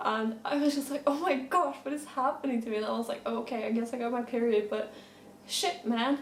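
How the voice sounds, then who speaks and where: The woman's pitch is high and her pace fairly quick. Background noise is noticeable. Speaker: horse rider. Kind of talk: casual storytime talk to camera.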